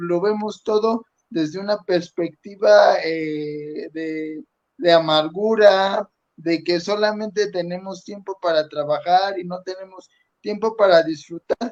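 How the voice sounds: A man speaks slowly at a high pitch. His pitch varies in an ordinary way.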